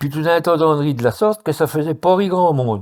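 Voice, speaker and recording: Lively intonation marks a man's speech in a very clean recording with a silent background. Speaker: writer. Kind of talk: reading of regional dialect stories.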